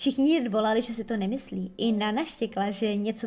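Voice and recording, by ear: A natural voice reads the text aloud.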